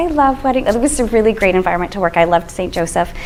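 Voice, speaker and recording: A woman talks at a very fast pace with lively intonation and an energetic tone over noticeable background noise. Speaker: social media strategist. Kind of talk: presentation to an audience.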